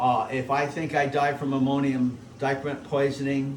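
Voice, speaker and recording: Audible room echo surrounds a man speaking fairly slowly at a fairly high pitch. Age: 70s. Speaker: photographic printer demonstrating gum bichromate printing. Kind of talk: tutorial. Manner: casual, repetitive phrasing.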